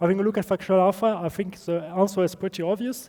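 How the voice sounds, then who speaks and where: A man with a strong non-native accent speaks at a high pitch in a dark, mellow tone. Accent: strong non-native accent, self-described. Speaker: game developer presenter. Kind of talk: conference presentation. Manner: hesitant, many fillers.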